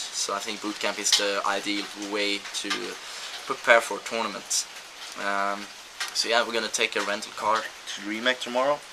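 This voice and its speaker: Fairly low in pitch, a man speaks at a moderate pace with monotone, flat intonation against noticeable background noise. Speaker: professional gamer vlogger. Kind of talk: video blog. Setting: outdoors. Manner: halting.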